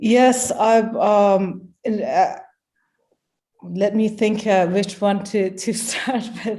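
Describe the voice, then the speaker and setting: Speaking at a very slow pace with long, frequent pauses, a woman with a Persian accent has a dark, mellow tone, a fairly high pitch and fairly even intonation. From Iran. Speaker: poet and translator. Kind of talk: conversational interview. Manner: halting, many fillers.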